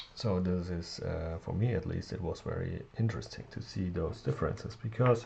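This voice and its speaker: The background is quiet. A man speaks at a fairly low pitch. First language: not English. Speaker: tech reviewer. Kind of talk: tutorial. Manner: halting, many fillers.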